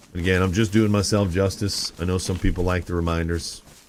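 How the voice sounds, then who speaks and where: Noticeable background noise runs under a man talking with an American accent. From Michigan. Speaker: gaming streamer. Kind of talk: casual chat. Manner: animated.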